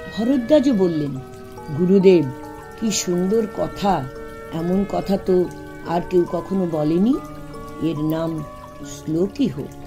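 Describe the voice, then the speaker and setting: Music plays in the background as a woman speaks. Her pitch is fairly low and her intonation lively. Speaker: retired teacher; storyteller. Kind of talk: children's story reading.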